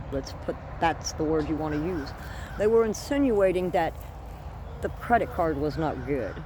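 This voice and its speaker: A woman talks at a moderate pace. There is noticeable background noise and audible room echo. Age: 60s. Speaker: homesteading vlogger. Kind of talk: casual vlog storytelling. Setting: outdoors among plants. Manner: animated.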